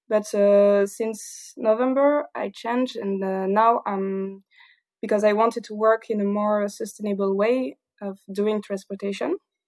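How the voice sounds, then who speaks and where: Speaking with a strong southern French accent, a woman keeps a medium pitch. Her intonation is fairly even and her pace fairly slow. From southern France, Toulouse. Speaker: engineer. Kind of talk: casual interview. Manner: halting, many fillers; frequent laughter.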